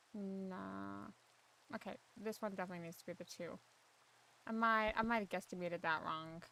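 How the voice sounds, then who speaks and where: A quiet woman talks at a moderate pace in a bright, sharp tone, with long, frequent pauses. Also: medium pitch for a woman, fairly even intonation. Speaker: gaming streamer. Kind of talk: casual chat. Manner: soft-spoken.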